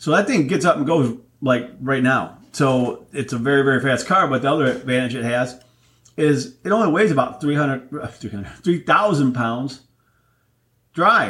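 A man with an ordinary speaking voice, fairly high in pitch, fairly slow, with ordinary pitch variation. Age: 50s. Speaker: podcast host. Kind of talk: casual solo monologue. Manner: relaxed, filler-heavy.

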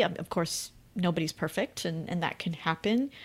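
A woman with a Canadian accent speaks in an unremarkable speaking voice of medium pitch, at a moderate pace with ordinary pitch variation, on a very clean recording with a silent background. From Canada. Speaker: finance writer and podcast host. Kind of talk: interview conversation.

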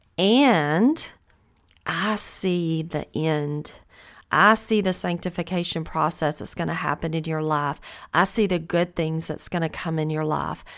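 A woman speaks in a Southern US accent at a fairly slow pace. Her pitch is fairly low with ordinary variation, and the recording is very clean with a silent background. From US South. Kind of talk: devotional Bible teaching monologue.

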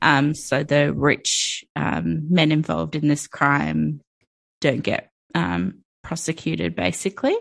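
At a very slow pace, a woman speaks with very even loudness. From born and raised outside Turkey to Turkish immigrant parents. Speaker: podcast co-host. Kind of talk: casual chat.

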